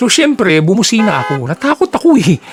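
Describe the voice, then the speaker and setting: A man is talking. Music can be heard behind him. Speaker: vlogger driver recounting road rage. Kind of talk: angry rant. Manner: indignant, sarcastic, rapid-fire; pointed rhetorical questions, mocking.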